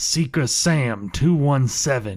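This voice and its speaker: This is a put-on character voice. The recording is very clean, with a silent background. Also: man. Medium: audio drama. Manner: dry, deadpan.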